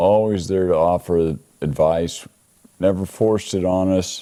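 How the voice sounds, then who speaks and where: This man talks with fairly even intonation in a Midwestern American accent. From Kansas. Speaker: interviewee. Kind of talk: personal history interview.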